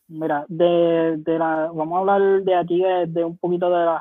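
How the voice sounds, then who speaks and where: This man speaks with a Puerto Rican accent at a high pitch. His intonation stays monotone and flat. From Puerto Rico, Humacao. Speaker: baseball commentator. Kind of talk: casual chat. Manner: halting, many repetitions.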